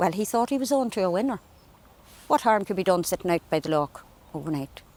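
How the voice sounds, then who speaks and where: A woman with an Irish accent at a medium pitch, very fast pace and lively intonation. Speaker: storyteller. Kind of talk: folk tale storytelling. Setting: outdoors.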